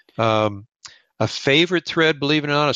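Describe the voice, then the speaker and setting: A man with an American accent talks at a fairly quick pace with ordinary pitch variation. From US West, California (Lindsay). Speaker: fly tyer. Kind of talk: interview. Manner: animated.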